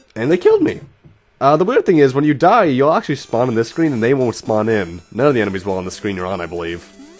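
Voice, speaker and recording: A voice with very wide pitch swings races along at a very fast pace over music in the background. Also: man, medium pitch for a man. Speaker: let's play gamer. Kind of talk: gameplay commentary. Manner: casual, rambling with fillers.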